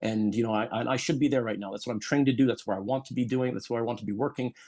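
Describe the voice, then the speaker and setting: A man with an American accent speaks at a very fast pace in a dark, mellow tone. His pitch is medium and his intonation fairly even. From United States. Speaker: doctor. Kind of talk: interview. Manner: halting, many repetitions.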